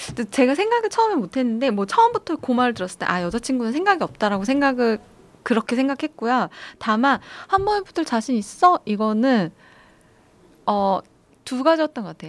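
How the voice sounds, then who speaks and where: A woman's high-pitched voice with very wide pitch swings and big swings in loudness. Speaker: psychiatrist and podcast host. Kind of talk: advice podcast chat.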